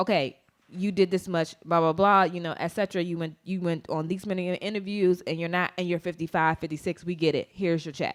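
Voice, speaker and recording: The voice runs at a fairly quick pace with hardly any pauses and monotone, flat intonation. The recording is very clean with a silent background. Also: woman, fairly low pitch for a woman. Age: 30s. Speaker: podcast co-host. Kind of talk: casual chat.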